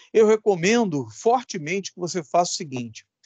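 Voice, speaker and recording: Recorded with a dry, close sound and no echo, a man's voice moves through very wide pitch swings. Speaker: electronics teacher. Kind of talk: lecture. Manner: slow.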